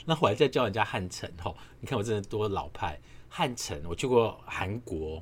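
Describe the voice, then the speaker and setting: Somewhat breathy, a man with a Taiwanese accent speaks at a moderate pace in a fairly low voice with very wide pitch swings. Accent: Taiwanese Mandarin. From Taiwan, Nanfang'ao (Yilan). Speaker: podcast host. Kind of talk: casual solo monologue. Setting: home apartment at night. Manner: quiet, keeping voice down.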